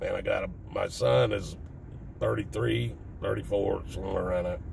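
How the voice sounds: A raspy man's voice with vocal fry and a slightly mellow tone, in a Southern US accent, with ordinary pitch variation at a moderate pace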